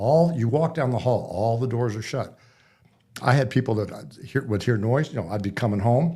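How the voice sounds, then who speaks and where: A man with an American accent talks at a moderate pace in a somewhat breathy, medium voice. His pitch varies in an ordinary way on a very clean recording with a silent background. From Nebraska. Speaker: author. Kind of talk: interview. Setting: studio.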